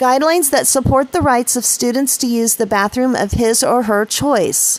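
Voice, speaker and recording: A high-pitched woman at a moderate pace, her loudness very even, with noticeable background noise. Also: ordinary pitch variation. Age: 50s. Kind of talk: reading a news article aloud.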